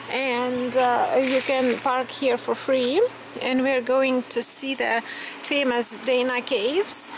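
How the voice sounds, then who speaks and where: A woman talks at a very slow pace. Her pitch is high, and there is noticeable background noise. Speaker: travel vlogger. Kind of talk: casual vlog chat. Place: street. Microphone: phone near.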